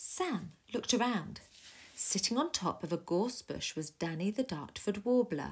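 A plain read-aloud voice rises and falls with lively intonation.

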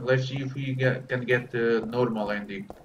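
There is noticeable background noise behind this speaker. He is a man with a Portuguese accent and a medium pitch. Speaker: gaming streamer. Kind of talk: live gameplay commentary. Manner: animated.

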